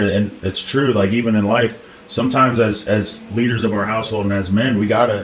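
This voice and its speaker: Over noticeable background noise, a man speaks at a fairly quick pace with hardly any pauses, his fairly low voice monotone and flat. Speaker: podcast host. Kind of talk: podcast conversation.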